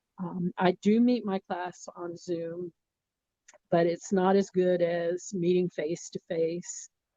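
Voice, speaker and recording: A woman speaks very slowly at a medium pitch, monotone and flat, her tone dark and mellow in a dry, close sound with no echo. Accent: American. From US South, Miami, Florida. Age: 60s. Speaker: communication professor. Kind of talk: interview.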